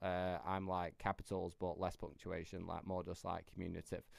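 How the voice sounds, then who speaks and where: In a very clean recording with a silent background, a man with a Yorkshire accent speaks very fast in a very deep, low pitch. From Yorkshire, northern England. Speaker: AI business coach. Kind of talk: tutorial. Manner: casual, filler-heavy.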